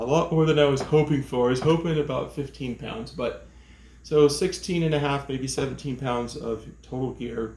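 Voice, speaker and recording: A man talks in a fairly high, somewhat breathy voice whose pitch varies in an ordinary way. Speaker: hiking vlogger. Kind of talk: gear tutorial vlog.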